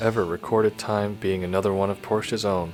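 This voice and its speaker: The voice moves at a fairly quick pace with music in the background. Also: man. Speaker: car video narrator. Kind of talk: casual comedic fact narration. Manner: sleepy, bored.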